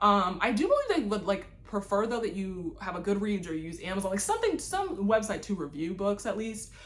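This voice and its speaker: With hardly any pauses, a woman talks at a fairly quick pace in an animated tone at medium pitch. Her pitch variation is ordinary, and there is noticeable background noise. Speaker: booktuber. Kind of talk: casual vlog chat. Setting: home library on camera. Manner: fast.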